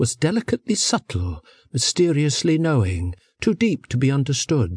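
A man's somewhat breathy, medium-pitched voice with very wide pitch swings, dry and close with no echo, over a quiet background. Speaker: audiobook narrator. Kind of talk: audiobook reading of translated philosophical verse, scripted. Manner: slow, measured, calm; formal, contemplative, even-toned.

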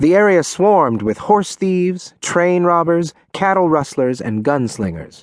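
A man at a fairly slow pace with very wide pitch swings against a quiet background. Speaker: audiobook narrator. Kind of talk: dramatic audiobook narration of a Wild West tale. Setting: studio. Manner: gripping, vivid storyteller's pacing with punchy emphasis on action beats.

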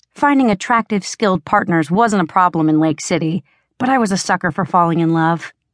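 Over a quiet background, a woman with an unremarkable speaking voice talks at a fairly quick pace and medium pitch with lively intonation, the sound dry and close with no echo. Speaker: audiobook narrator. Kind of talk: dramatic first-person audiobook narration, romance fantasy. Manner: intense, urgent, sultry and sardonic; expressive, shifts to heated dialogue.

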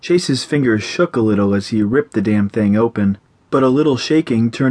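The speaker is reading aloud. The voice sounds natural.

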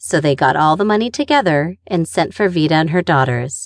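An ordinary speaking voice from a woman, fairly low in pitch, with lively intonation, a dry, close sound free of echo, and a quiet background. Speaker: audiobook narrator. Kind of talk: audiobook narration of a memoir, read aloud in first person. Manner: storytelling, wry and conversational, warm with a dry humor.

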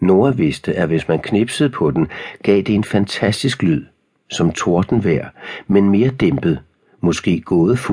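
With a quiet background, a natural voice reads aloud using lively intonation.

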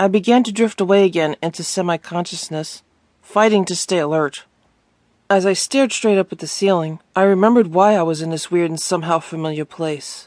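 Over a quiet background, a woman uses a normal speaking voice with a fairly low pitch and ordinary pitch variation. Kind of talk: audiobook narration, first-person memoir read aloud. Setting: studio. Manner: solemn and emotive, dwelling on the dreamlike, painful moments.

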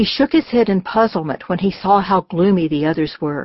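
The recording features plain reading aloud.

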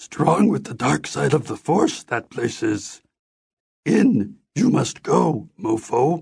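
The pace is very slow throughout. The speaker uses a put-on character voice. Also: man, medium pitch for a man. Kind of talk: inverted sentence order. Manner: wise, cryptic.

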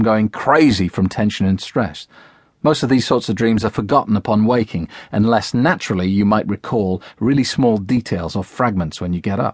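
A man talking at a fairly quick pace with ordinary pitch variation against a quiet background. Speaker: audiobook narrator. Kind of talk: guided hypnosis narration, scripted audiobook reading. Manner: measured and instructive, like a gentle guide.

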